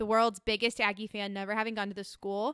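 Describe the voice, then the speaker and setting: A woman's bright, sharp voice with a Texan accent, fairly high in pitch, dry and close with no echo, over a quiet background. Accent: Texan American. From Austin, Texas. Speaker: summer camp staff. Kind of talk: casual chat. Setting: living room. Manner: animated.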